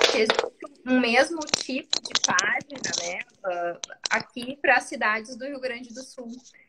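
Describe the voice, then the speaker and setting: Noticeable background noise sits behind a woman's high, raised and projected voice as she speaks at a fairly slow pace with ordinary pitch variation. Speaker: public defender. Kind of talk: live interview. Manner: hesitant.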